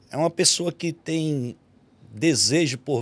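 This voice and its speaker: Moving at a very slow pace, a man talks with ordinary pitch variation. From Bahia, Brazil. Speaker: pastor. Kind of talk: testimony.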